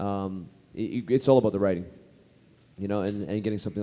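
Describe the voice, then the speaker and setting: This man's delivery is very fast. The tone comes across dark and mellow. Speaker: actor and convention guest. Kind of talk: panel Q&A chat with audience. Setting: stage with audience at a convention. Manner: animated, friendly.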